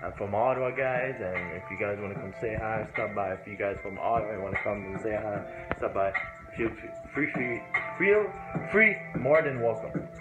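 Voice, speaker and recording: A man talks at a moderate pace while clear music can be heard in the background. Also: ordinary pitch variation. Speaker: vlogger. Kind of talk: casual vlog chat. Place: home room. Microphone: phone near.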